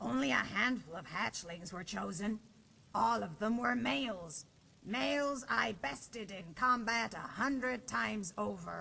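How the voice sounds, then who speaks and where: Using a put-on character voice, a woman at a medium pitch speaks at a moderate pace with very wide pitch swings. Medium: machinima. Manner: dry, wry humor.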